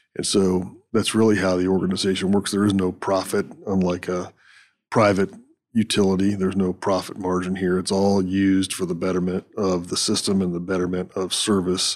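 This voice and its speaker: Very deep and low, a man's voice comes in a monotone, flat intonation at a moderate pace. He has an American accent, and the recording is very clean with a silent background. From northwest Pennsylvania. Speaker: utility executive, retired navy officer. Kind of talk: interview.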